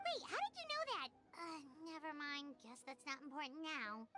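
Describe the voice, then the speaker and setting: Put-on character voice, high in pitch, at a moderate pace over loud background noise. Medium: video game. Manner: casual, chatty.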